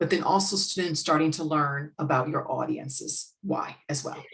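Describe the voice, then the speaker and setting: In an American accent, a woman talks at a moderate pace with a very deep, low pitch and ordinary pitch variation. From United States. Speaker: business owner and sales and marketing consultant. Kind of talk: podcast interview conversation.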